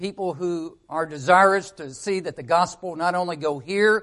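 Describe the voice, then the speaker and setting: A man speaks with a Southern US accent. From Arkansas. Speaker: missionary. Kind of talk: church talk. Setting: church.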